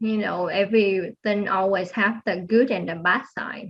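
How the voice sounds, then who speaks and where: Speaking at a moderate pace, a woman with a non-native accent has a medium-pitched voice. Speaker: aerospace engineer. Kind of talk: interview. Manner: soft-spoken; halting.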